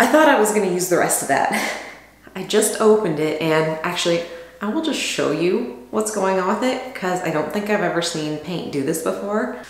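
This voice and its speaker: Audible room echo around a woman talking at a moderate speed. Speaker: DIY vlogger. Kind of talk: casual vlog chat. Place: bathroom. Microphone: camera far.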